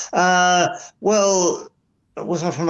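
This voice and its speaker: Audible room echo surrounds a man with an Essex accent. His pitch is high. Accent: southern English (Essex). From Essex, England. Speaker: drummer. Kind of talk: interview. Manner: halting.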